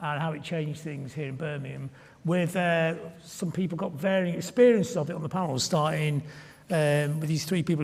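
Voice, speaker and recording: A man speaks at a fairly quick pace with a fairly high pitch and ordinary pitch variation. Noticeable background noise is present. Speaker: panel moderator. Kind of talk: panel discussion.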